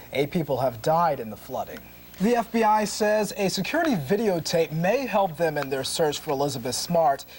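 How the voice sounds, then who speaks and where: A man's high voice, fairly quick and with lively intonation, against noticeable background noise. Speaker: TV news anchor. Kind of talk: TV news broadcast read.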